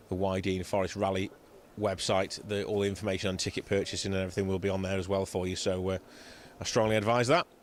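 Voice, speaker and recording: In a Cheshire accent, the speaker talks at a very fast pace with monotone, flat intonation. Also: man, very deep, low pitch for a man. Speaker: rally commentator. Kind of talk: live commentary. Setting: outdoors. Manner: conversational.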